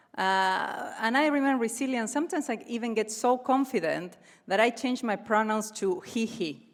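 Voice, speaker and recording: On a very clean recording with a silent background, a woman with an Argentine accent talks at a moderate pace in a fairly high pitch with lively intonation. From Argentina, Cordoba. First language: Spanish. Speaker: comedian. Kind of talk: stand-up. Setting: stage with audience.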